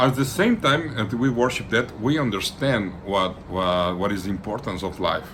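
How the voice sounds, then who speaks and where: A man with a Latin American accent, medium pitch and ordinary pitch variation, moderate pace with hardly any pauses, and audible room echo. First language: Spanish. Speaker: occult practitioner and channel host. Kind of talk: informal talk to camera. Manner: halting, with frequent repetitions; relaxed.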